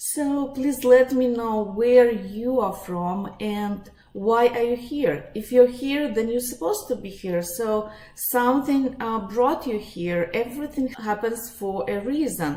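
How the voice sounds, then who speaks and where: A woman in a Russian accent talks at a fairly slow pace with hardly any pauses and ordinary pitch variation. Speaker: psychologist and life coach. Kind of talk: webinar presentation. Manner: halting, many fillers.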